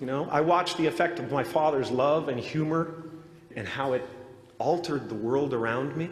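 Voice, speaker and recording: With noticeable background noise behind him, a man with a fairly high voice talks at a moderate pace with lively intonation. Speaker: actor and comedian giving a commencement address. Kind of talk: commencement speech. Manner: reflective, sincere.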